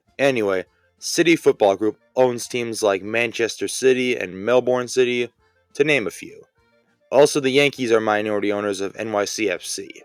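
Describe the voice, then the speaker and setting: Music plays in the background as a man speaks at a moderate pace with ordinary pitch variation. The sound is dry and close, with no echo. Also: medium pitch for a man. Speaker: sports explainer YouTuber. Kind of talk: casual explainer narration. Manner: wry, sarcastic.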